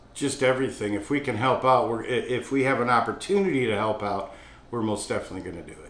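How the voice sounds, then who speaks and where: Audible room echo surrounds a man speaking at a moderate pace. His medium pitch shows ordinary variation. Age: 60s. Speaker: restaurant owner. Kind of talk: interview talk about hiring. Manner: casual, with fillers and restarts.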